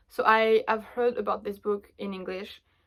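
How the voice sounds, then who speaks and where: In a French accent, a woman speaks fairly slowly at a fairly high pitch with ordinary pitch variation, captured in a very clean recording with a silent background. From France. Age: 20s. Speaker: book vlogger. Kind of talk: casual chat.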